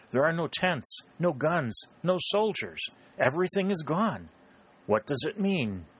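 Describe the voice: A man puts on a character voice, fairly high-pitched and fairly bright, with a slightly husky edge and big pitch swings. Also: fairly slow pace.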